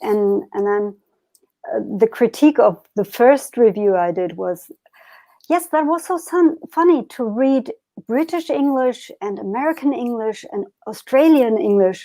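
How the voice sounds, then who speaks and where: With a German accent, a woman speaks at a fairly slow pace in a high pitch. Her tone is dark and mellow, and her pitch swings very widely. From Germany, Berlin. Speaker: harpist and magazine editor. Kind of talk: interview. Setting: live online stream. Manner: halting.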